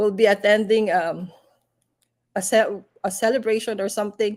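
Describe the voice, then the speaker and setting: This is a woman's voice at a medium pitch. She talks at a fairly slow pace. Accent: non-native. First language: not English. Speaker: live stream host, business entrepreneur. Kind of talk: casual live chat. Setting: livestream.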